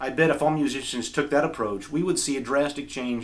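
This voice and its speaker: Pitch varies in an ordinary way as an ordinary speaking voice goes along at a fairly quick pace. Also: man. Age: 40s. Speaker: guitarist and video creator. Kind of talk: reading aloud from journal; casual talk to camera.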